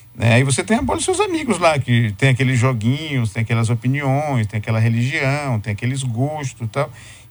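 Fairly quick speech from a man at a medium pitch, amid noticeable background noise. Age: 50s. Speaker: professor and writer. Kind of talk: radio interview.

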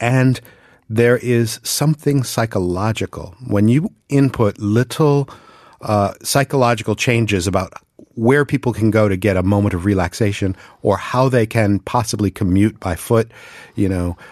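A man with an American accent speaks at a moderate pace in a plain, everyday voice, fairly low in pitch with ordinary pitch variation, recorded dry and close with no echo over a quiet background. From US East Coast. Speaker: podcast host. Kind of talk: casual chat. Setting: studio.

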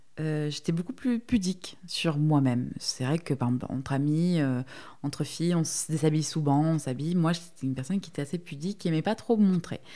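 Dark, mellow tone from a woman at a very deep, low pitch, with ordinary pitch variation and a moderate pace. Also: very clean recording, silent background. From Marseille, southern France. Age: 30s. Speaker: plus-size model. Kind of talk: interview testimony.

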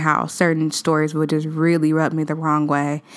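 A woman talks at a fairly slow pace in a very deep, low pitch. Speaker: podcast host. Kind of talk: casual solo chat. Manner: conversational, many fillers.

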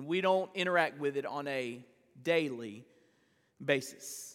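A man speaks in a raised, projected voice. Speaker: pastor. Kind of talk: sermon. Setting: church.

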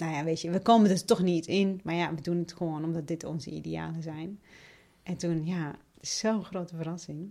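A woman speaks at a fairly quick pace in a fairly low pitch with a dark, mellow tone and ordinary pitch variation, on a very clean recording with a silent background. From Iraq (Basra and Baghdad). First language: Arabic (speaking Dutch). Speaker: member of parliament. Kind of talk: interview.

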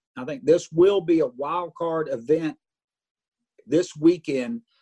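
A man with an unremarkable speaking voice talks at a fairly slow pace and a fairly high pitch, with ordinary pitch variation. The sound is dry and close, with no echo. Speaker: racing broadcaster. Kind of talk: radio interview. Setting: office phone or video call.

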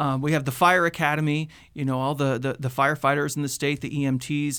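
A man with an American accent speaks at a fairly quick pace. His pitch is fairly high, and his intonation is monotone and flat. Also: very clean recording, silent background. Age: 30s. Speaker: public safety communications administrator, former TV reporter. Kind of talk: radio interview. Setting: radio studio.

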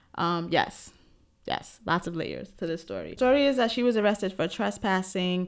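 On a very clean recording with a silent background, a woman speaks at a medium pitch with a New York accent. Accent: New York (Bronx). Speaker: podcast co-host and special education teacher. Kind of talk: casual chat.

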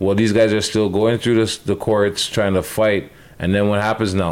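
A man speaks with a Toronto accent, his pitch fairly low. His pitch varies in an ordinary way at a moderate pace. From Canada, Toronto area. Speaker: podcast co-host. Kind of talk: casual chat.

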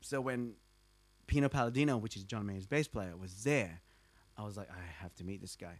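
Speaking with an Australian accent at a moderate pace, a man with a fairly low pitch leaves long, frequent pauses and shows big swings in loudness on a very clean recording with a silent background. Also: ordinary pitch variation. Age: 20s. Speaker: bassist. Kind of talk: casual chat. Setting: at his home.

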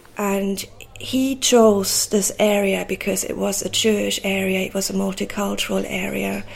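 Noticeable noise fills the background. A woman talks through it at a moderate pace. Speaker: photographer and oral historian. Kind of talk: interview. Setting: artist's studio above a market.

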